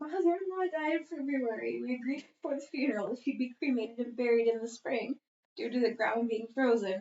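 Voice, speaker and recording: A woman speaks softly in a high voice. Her pace is fairly quick. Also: lively intonation. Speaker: podcast co-host reading posts. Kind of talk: reading aloud. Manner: soft-spoken; fast, sometimes mumbling.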